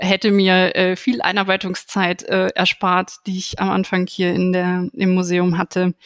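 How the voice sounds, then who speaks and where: Monotone, flat intonation marks a woman's fairly slow speech. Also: medium pitch for a woman, dry, close sound with no echo. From Germany, Aachen. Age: 30s. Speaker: museum curator and physicist. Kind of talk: interview.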